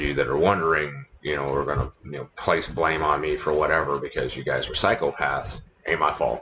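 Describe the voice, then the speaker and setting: A man's moderate pace of speech is heard with noticeable background noise. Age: 40s. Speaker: livestream gamer and former radio DJ. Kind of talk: casual chat. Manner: low-key, talking low. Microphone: laptop microphone, quality a bit garbage.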